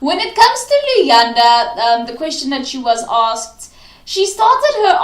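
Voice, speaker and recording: A woman with a South African accent, animated in tone, amid audible room echo and noticeable background noise. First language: Afrikaans. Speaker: pageant commentator YouTuber. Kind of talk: casual vlog review. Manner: uses filler um often.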